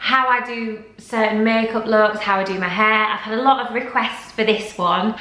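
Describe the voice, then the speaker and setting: A woman with a Yorkshire accent and fairly high pitch, amid noticeable background noise and audible room echo. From Yorkshire, northern England. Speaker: lifestyle vlogger and former model. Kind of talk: casual vlog Q&A. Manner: chatty, with frequent ums.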